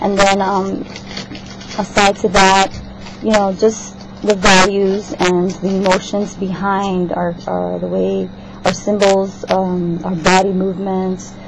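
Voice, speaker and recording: Spoken very slowly in a flat monotone, the voice comes through over noticeable background noise. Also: woman, medium pitch for a woman. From South America. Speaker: student. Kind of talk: class assignment vlog. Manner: halting, many fillers.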